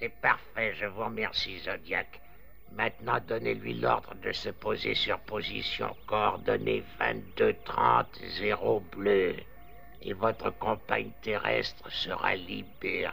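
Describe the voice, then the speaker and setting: Using a put-on character voice with a menacing tone, a man speaks at a fairly slow pace over clear background noise. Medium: fan dub. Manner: cold, superior, menacing.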